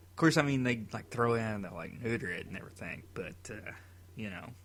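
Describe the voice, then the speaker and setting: Fairly quick speech from a man, with audible room echo. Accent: Tennessee. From Tennessee. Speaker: podcast co-host. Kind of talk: casual chat.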